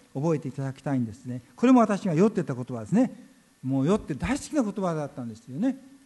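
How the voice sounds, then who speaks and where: With a dark, mellow tone, a man speaks at a fairly high pitch and swings his pitch very widely. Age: 80s+. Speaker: pastor. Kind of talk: sermon.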